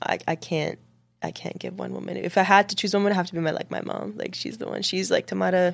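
Over a silent background in a very clean recording, a woman talks very fast with an American accent. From Dubai and Washington DC area, Lebanese family. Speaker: music marketing professional. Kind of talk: casual interview. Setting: studio video podcast.

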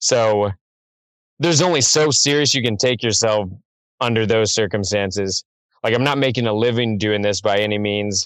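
A man with an American accent and a plain, everyday voice talks at a moderate pace, his pitch fairly low, with ordinary pitch variation. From Missouri, small town. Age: 30s. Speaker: rapper. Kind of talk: casual chat. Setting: phone call.

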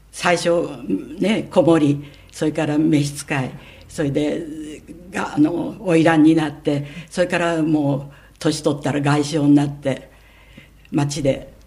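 A woman speaks at a very deep, low pitch and a very slow pace, with fairly even intonation. She leaves long, frequent pauses, and audible room echo surrounds her. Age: 90s. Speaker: sex educator and scriptwriter. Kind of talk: interview.

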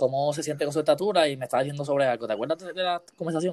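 A man's fairly high voice at a very fast pace, with ordinary pitch variation and a dry, close sound with no echo. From Puerto Rico, Aguas Buenas. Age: 20s. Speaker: podcast host. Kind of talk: casual interview.

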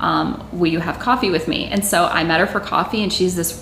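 A woman with an American accent, fairly low in pitch and fairly quick, amid noticeable background noise and audible room echo. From Massachusetts. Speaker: music marketing business owner. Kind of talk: interview.

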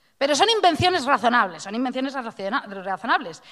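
Animated and high-pitched, a woman speaks with very wide pitch swings. The recording is very clean, with a silent background. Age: 40s. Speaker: radio host. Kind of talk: casual chat.

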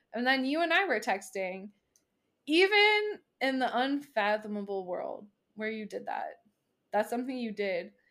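A woman speaks at a moderate pace in a high, bright, sharp voice with very wide pitch swings. Her speech has long, frequent pauses. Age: 30s. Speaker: podcast co-host. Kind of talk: casual chat. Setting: remote recording from home.

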